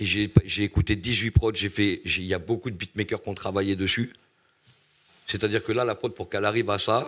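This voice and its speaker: Monotone, flat delivery at a moderate pace on a very clean recording with a silent background. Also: man. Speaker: rapper. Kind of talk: casual chat.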